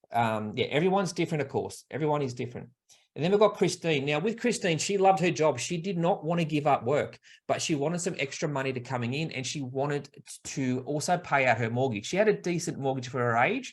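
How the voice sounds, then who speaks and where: Talking at a very fast pace with an Australian accent, this man has a fairly high pitch, a somewhat breathy sound and lively intonation. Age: 40s. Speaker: buyer's agent and property investment advisor. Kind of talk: online workshop presentation. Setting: live online webinar.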